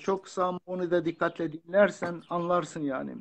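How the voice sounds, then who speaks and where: Over light background noise, a man speaks at a fairly slow pace in a monotone, flat intonation. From Turkey, Kurdish region. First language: Kurdish (speaking Turkish). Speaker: author and lecturer. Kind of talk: interview. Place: home room. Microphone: phone near.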